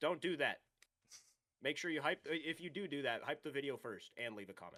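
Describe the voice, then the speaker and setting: Vocal fry runs through a man's fairly high-pitched voice as he talks at a fairly quick pace. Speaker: streamer and YouTuber. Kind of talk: casual chat. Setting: livestream. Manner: monotone.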